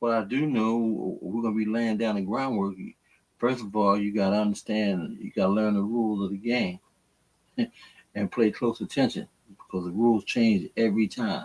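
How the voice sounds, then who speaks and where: At a moderate pace, a man talks in a normal speaking voice with a fairly low pitch and fairly even intonation. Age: 60s. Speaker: co-host. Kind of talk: casual chat.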